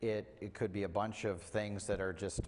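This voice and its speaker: The speaker is a man. His voice sits at a fairly low pitch. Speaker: preacher. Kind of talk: sermon. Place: church.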